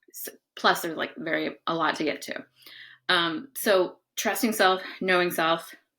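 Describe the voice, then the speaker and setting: Bright and sharp in tone, a woman's voice at medium pitch moves at a fairly slow pace with ordinary pitch variation on a very clean recording with a silent background. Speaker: psychotherapist and life coach. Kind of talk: casual talk-to-camera advice monologue. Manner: casual, filler-heavy.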